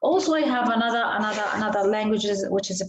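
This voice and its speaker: Somewhat breathy and fairly high-pitched, a woman with an Arabic accent speaks amid audible room echo. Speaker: IELTS speaking teacher. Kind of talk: online lesson mixing Arabic and English. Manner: halting, many fillers and repeats.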